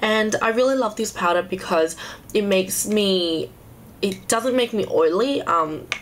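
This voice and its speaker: Against noticeable background noise, a woman speaks fairly slowly with ordinary pitch variation. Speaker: beauty YouTuber. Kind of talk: casual talk to camera.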